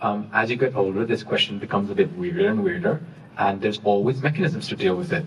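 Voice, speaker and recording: A somewhat breathy man at a medium pitch, talking at a very fast pace with very wide pitch swings. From Saudi Arabia and East London, UK. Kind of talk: panel discussion. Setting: university event with audience.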